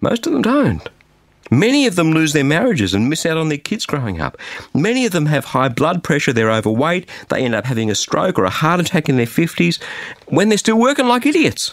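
Very wide pitch swings mark this man's fairly high voice, delivered at a fairly quick pace in an Australian accent. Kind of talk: radio devotional message.

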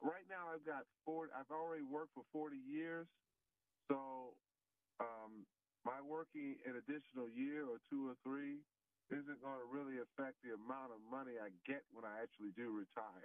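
At a moderate pace, a man uses an ordinary speaking voice at a medium pitch with ordinary pitch variation. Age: 60s. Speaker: caller. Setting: phone call.

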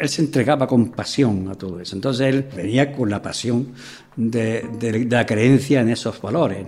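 Over music in the background, a man speaks at a moderate pace and medium pitch, with ordinary pitch variation and big swings in loudness. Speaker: former mayor and teacher. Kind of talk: interview testimony.

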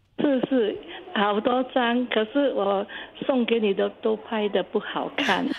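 Very slow speech from a woman at a fairly high pitch, with very even loudness and noticeable background noise. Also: ordinary pitch variation. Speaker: listener sharing memories. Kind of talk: casual interview.

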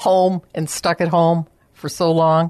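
Fairly low-pitched woman's voice, an ordinary speaking voice at a fairly slow pace, over a quiet background. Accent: American. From Chicago area, US Midwest. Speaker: senior care business owner. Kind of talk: radio interview.

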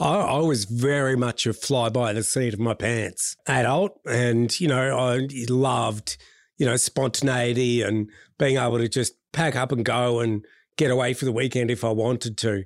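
On a very clean recording with a silent background, a man with an Australian accent keeps his loudness very even at a moderate pace. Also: medium pitch for a man, ordinary pitch variation. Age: 40s. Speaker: public speaker and former chef. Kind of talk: interview conversation.

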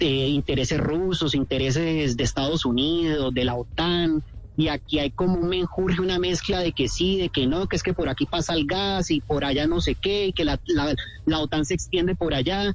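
An ordinary speaking voice from a man, fairly high in pitch, at a moderate pace with very even loudness and ordinary pitch variation. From Colombia, Cali. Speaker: tour guide living abroad. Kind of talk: radio phone interview.

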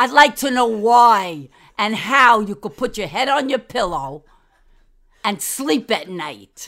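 A woman's bright, sharp voice with a New York accent, fairly high in pitch with very wide pitch swings, at a very slow pace on a very clean recording with a silent background. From New York City, Manhattan. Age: old. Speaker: host's grandmother, guest commentator. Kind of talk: angry rant. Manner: animated.

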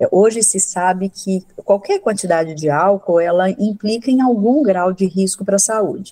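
A woman speaks at a medium pitch with hardly any pauses. Her tone is dark, mellow and somewhat breathy. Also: ordinary pitch variation, moderate pace. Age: 60s. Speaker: psychiatrist and professor. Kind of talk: radio interview. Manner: halting, many fillers.

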